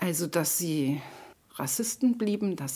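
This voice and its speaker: A woman with a plain, everyday voice speaks at a fairly slow pace in a fairly low pitch, her intonation lively. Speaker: political activist. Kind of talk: interview testimony.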